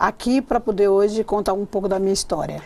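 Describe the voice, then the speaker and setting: A woman at medium pitch talking at a very fast pace. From Bahia, Brazil (Ubatã). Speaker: state politician. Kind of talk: TV interview. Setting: TV studio. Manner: halting.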